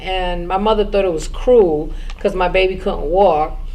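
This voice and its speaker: Over audible room echo, a woman speaks at a medium pitch and a fairly slow pace, with ordinary pitch variation. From Brooklyn, New York, US. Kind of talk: personal testimony.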